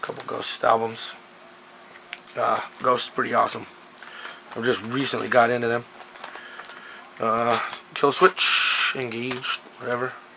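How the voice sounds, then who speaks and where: Amid noticeable background noise, a man speaks at a moderate pace with fairly even intonation and long, frequent pauses. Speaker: collector showing pickups. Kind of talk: casual talk to camera. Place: home room. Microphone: camera far.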